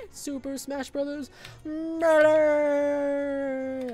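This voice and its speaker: A put-on character voice, high in pitch, with monotone, flat intonation. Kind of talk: announcer.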